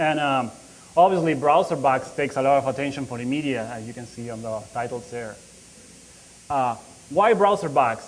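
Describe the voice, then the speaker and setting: In a Spanish accent, a man speaks at a moderate pace and medium pitch, with ordinary pitch variation and big swings in loudness. Long pauses come often, and the room echo is audible. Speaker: security researcher. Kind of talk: conference talk. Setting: conference stage with audience. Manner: halting, many fillers.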